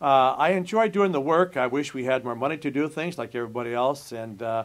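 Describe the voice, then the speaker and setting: A man with an American accent and an ordinary speaking voice, medium in pitch, ordinary pitch variation, fairly quick pace. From Nebraska, US Midwest. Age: 60s. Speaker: college administrator. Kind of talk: interview.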